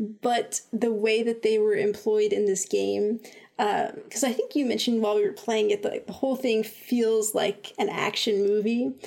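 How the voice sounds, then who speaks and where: Against noticeable background noise, a woman talks at a fairly high pitch and a moderate pace. Her loudness stays very even and her intonation fairly even. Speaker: podcast host. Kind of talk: casual chat. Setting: video call.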